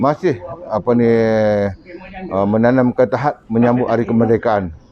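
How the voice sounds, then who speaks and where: Ordinary pitch variation in a medium-pitched man's voice. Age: 60s. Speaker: retired soldier. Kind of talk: interview. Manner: halting.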